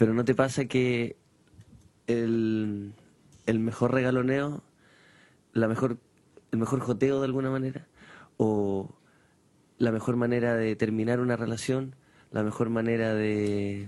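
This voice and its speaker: Speaking with a Chilean accent, a man at medium pitch moves at a fairly slow pace with long, frequent pauses. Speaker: radio host. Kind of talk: casual chat. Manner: animated.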